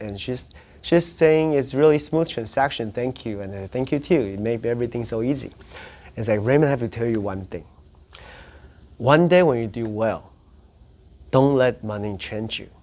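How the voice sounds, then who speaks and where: A man speaks in a Taiwanese accent with a dark, mellow tone, a medium pitch and lively intonation. His pace is moderate, with long, frequent pauses and big swings in loudness. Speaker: real estate agent. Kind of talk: interview storytelling. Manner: halting, frequent self-repetitions.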